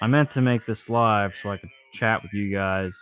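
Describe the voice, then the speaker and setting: A man with an American accent, fairly low-pitched, at a fairly quick pace. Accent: sounds Southern to some. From Ohio. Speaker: YouTube live streamer and amateur songwriter. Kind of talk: casual live stream chat. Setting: workshop, repairing a weed eater. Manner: halting, filler-heavy.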